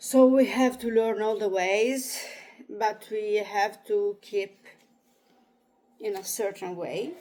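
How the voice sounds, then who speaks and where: Very slowly and with long, frequent pauses, a woman speaks in an Italian accent at a fairly high pitch with fairly even intonation. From Italy. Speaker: astrologer. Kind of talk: reading aloud with commentary. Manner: halting.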